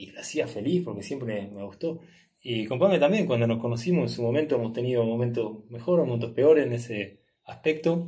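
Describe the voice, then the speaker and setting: A man with a medium pitch speaks at a fairly quick pace, with lively intonation and big swings in loudness. His voice is somewhat breathy with a dark, mellow tone, and room echo is audible. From Uruguay. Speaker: travel entrepreneur. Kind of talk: casual interview. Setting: in person, recording in Nepal.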